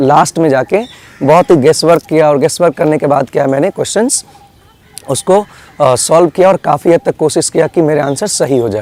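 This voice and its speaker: At a moderate pace, a man with a fairly high pitch and ordinary pitch variation speaks in a dry, close sound with no echo. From India, Bihar. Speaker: student giving exam advice. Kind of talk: advice talk. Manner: hesitant, many fillers.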